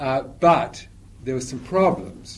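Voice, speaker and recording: A somewhat breathy man at a moderate pace, with lively intonation. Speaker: lecturer on evangelicalism. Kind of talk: lecture with Q&A. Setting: talk to a live audience. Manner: informal, hesitant, repeating words.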